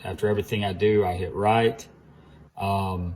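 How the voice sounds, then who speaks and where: This man's somewhat breathy voice comes through on a very clean recording with a silent background. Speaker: RC hobby shop staff. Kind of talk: tutorial. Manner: fast; casual, with fillers.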